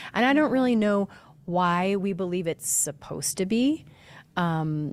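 Very slowly, a woman delivers her words. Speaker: podcast host. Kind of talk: casual interview conversation.

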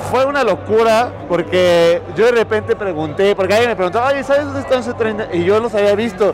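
Amid noticeable background noise, a man talks at a fairly quick pace with hardly any pauses. His pitch is high, with ordinary variation. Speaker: podcast co-host. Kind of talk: casual chat. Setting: trade show floor.

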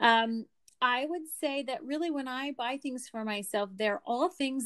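A woman speaks with an American accent and ordinary pitch variation. The sound is dry and close with no echo, on a very clean recording with a silent background. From Pennsylvania (Lancaster). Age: 40s. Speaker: schoolteacher and skincare business owner. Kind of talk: casual interview.

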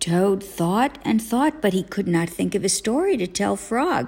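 A woman with a plain, everyday voice talks at a fairly slow pace and medium pitch, her intonation lively. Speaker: parent reading a bedtime story to children. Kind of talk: audiobook-style reading aloud of a children's story.

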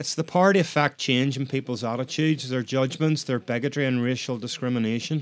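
A man with a Northern Irish accent talks at a fairly quick pace, his medium pitch held in fairly even intonation. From Northern Ireland. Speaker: podcast host. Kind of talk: solo podcast monologue.

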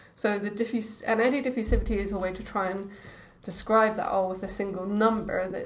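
A woman with a Scottish accent, medium in pitch and fairly even in intonation, with audible room echo around her. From Scotland, Edinburgh. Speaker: oceanographer. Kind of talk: casual chat.

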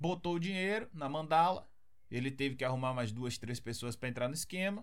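A man in a Brazilian accent makes very wide pitch swings, with audible room echo around him. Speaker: podcast host. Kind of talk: casual chat.

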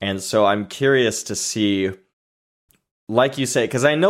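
This man has a normal speaking voice. His pitch is medium. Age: 30s. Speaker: movie podcast co-host. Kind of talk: casual chat.

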